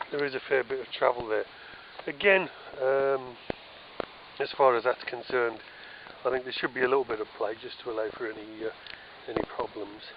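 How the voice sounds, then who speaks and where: With a British accent, a man talks in long, frequent pauses against noticeable background noise. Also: medium pitch for a man, ordinary pitch variation, fairly quick pace. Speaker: DIY vlogger restoring a trailer. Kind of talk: casual walkthrough tour. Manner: hesitant with many fillers.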